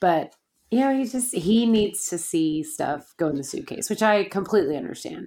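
A woman's animated, medium-pitched voice at a moderate pace, with very wide swings in pitch. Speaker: podcast co-host. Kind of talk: casual chat. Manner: animated, laughs often.

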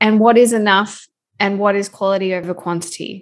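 In an Australian accent, a woman at medium pitch talks at a moderate pace with fairly even intonation. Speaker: food photographer and educator. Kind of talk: interview.

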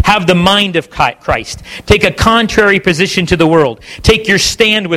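Heard here is an unforced reading voice.

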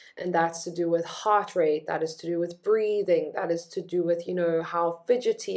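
The speaker is a woman with a fairly low pitch. She talks at a moderate pace. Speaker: wellness coach. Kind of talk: educational talk. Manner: calm, with pauses.

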